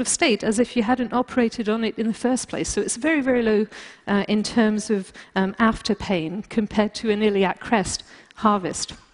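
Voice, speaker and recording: A woman talks at a moderate pace, her fairly high pitch showing ordinary pitch variation. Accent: British. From Britain, also raised in France. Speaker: bioengineering scientist. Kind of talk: lecture. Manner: halting, many fillers.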